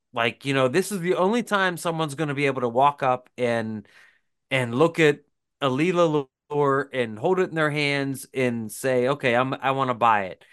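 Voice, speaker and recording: Over a quiet background, a man with an American accent uses an unremarkable speaking voice, fairly high in pitch, at a moderate pace with ordinary pitch variation. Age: 40s. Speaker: podcast co-host and lure maker. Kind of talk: casual chat.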